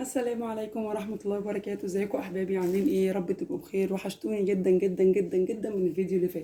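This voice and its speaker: Talking at a very fast pace, a woman keeps a medium pitch. Her pitch varies an ordinary amount. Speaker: homemaker vlogger. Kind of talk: casual vlog talk.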